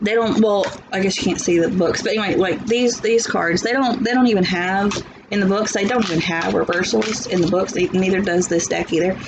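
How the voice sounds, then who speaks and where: A woman with a Southern US accent speaks at a medium pitch with ordinary pitch variation and very even loudness, amid audible room echo and noticeable background noise. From US South. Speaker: tarot reader. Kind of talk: tarot reading. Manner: animated.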